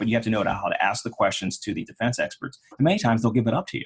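Somewhat breathy, a man speaks very fast at a fairly low pitch. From Pittsburgh, Pennsylvania. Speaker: personal injury trial lawyer. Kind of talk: interview.

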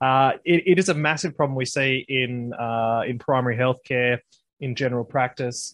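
A man speaks in a plain, everyday voice at a medium pitch and moderate pace, his intonation fairly even. The sound is dry and close with no echo, over a quiet background. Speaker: co-host. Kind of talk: casual interview chat.

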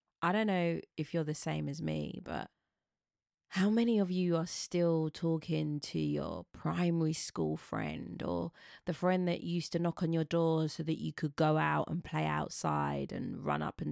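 Speech in a British accent comes at a moderate pace. The recording is very clean, with a silent background and a dry, close sound without echo. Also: woman. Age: 40s. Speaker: podcast host. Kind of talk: storytelling monologue.

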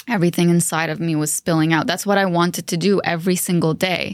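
An unremarkable speaking voice with fairly even intonation proceeds at a moderate pace on a very clean recording with a silent background. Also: woman. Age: 30s. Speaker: podcast co-host. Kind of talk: casual chat.

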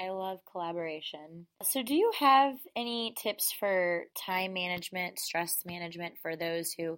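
On a very clean recording with a silent background, a woman with an American accent speaks in a plain, everyday voice at a medium pitch and fairly slow pace, with ordinary pitch variation and hardly any pauses. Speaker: podcast host. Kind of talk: interview.

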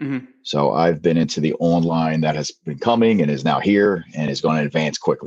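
A man's very deep, low voice with a Philadelphia accent, fairly quick with hardly any pauses and lively intonation. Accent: Philadelphia-area American. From southern New Jersey. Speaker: math teacher. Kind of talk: interview.

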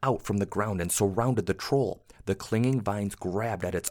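Pitch moves in an ordinary way. The voice is a natural reading voice.

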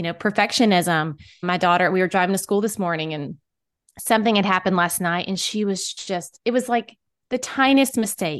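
Over a quiet background, a woman speaks in an ordinary speaking voice at a fairly quick pace with lively intonation. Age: 40s. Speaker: podcast host and author, mother. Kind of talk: casual chat.

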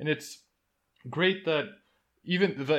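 Against a quiet background, a man speaks at a moderate pace. His tone is bright and sharp, with ordinary pitch variation. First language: Bulgarian. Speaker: podcast host and game designer. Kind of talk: interview.

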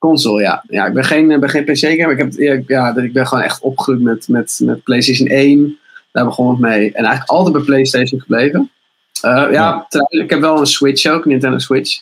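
Speaking in a plain, everyday voice, a man talks at a moderate pace and medium pitch, with ordinary pitch variation and very even loudness. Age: 20s. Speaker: video maker and musician. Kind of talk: casual chat.

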